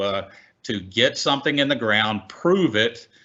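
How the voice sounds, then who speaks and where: A man is speaking. He has a Texan accent. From Texas. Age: 60s. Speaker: oil and gas executive. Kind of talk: panel discussion.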